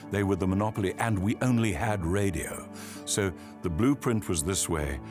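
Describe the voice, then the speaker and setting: There is music in the background. Over it, a man speaks at a moderate pace with a very deep, low pitch. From South Africa. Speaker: voice artist and broadcaster. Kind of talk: interview answer.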